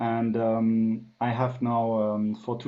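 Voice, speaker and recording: A man's voice at a medium pitch. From France. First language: French. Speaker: business consultant. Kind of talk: interview. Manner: hesitant, many fillers.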